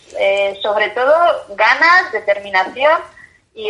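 Her pitch is fairly high, and the speaker is a woman. She talks at a fairly slow pace with lively intonation. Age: 30s. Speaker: journalist and bicycle traveller. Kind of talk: interview. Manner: halting, repeats words.

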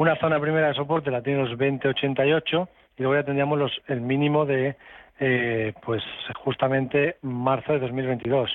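With an ordinary speaking voice, a man speaks at a fairly high pitch, his intonation fairly even and his loudness very even. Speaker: stock market analyst. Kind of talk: radio call-in advice.

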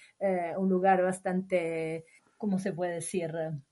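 A woman's medium-pitched voice at a fairly slow pace, with monotone, flat intonation. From northern Italy, Imola. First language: Italian (speaking Spanish). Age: 30s. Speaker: long-term traveller. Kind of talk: casual interview.

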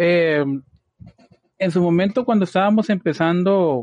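The sound is dry and close with no echo as a man speaks with ordinary pitch variation. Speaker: podcast host, IT production architect. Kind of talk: casual chat. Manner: frequent filler words.

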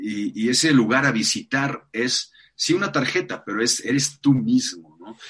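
A man speaks with a plain, everyday voice at a medium pitch and a fairly slow pace. His pitch varies in an ordinary way while his loudness swings widely. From Mexico City. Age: 40s. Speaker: life coach. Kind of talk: interview conversation.

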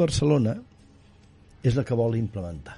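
A man's medium-pitched, dark and mellow voice, somewhat breathy, with very wide pitch swings. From Catalonia, Osona countryside. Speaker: politician and baker-businessman. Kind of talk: interview.

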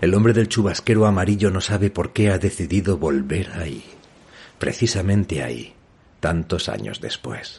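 This man has a very deep, low voice with vocal fry, talking at a moderate pace with lively intonation. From northern Spain. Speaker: novelist and podcast host. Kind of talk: reading aloud from own novel.

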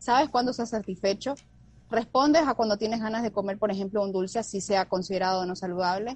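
The voice is somewhat breathy, with ordinary pitch variation. The pace is very fast. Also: woman, medium pitch for a woman. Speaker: nutritionist. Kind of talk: casual chat. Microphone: unstable internet connection.

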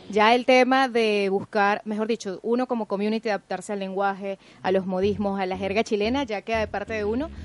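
This woman has an ordinary speaking voice at medium pitch, with fairly even intonation. She talks at a fairly quick pace with hardly any pauses, in a dry, close sound with no echo. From Venezuela. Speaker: journalist and social media manager. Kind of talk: casual radio talk show.

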